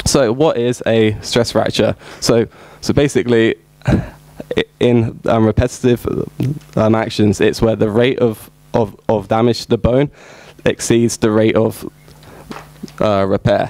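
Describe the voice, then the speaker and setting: A man's medium-pitched, monotone, flat voice at a fairly slow pace, with very even loudness, long, frequent pauses and noticeable background noise. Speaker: sports injury researcher. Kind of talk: conference presentation. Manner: halting, many fillers.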